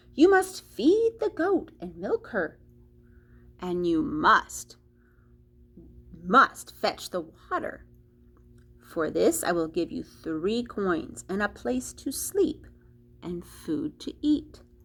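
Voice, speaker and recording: In a put-on character voice, a woman speaks fairly high and very slowly, with long, frequent pauses. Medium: read story.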